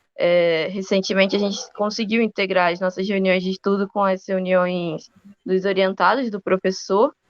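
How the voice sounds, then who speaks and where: In a dry, close recording with no echo, a woman talks at a moderate pace with a medium pitch and fairly even intonation. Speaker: university student. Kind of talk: podcast interview.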